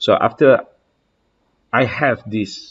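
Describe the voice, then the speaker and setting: A man speaks with a Malaysian accent. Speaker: house contractor. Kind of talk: software demo walkthrough. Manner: halting, many fillers.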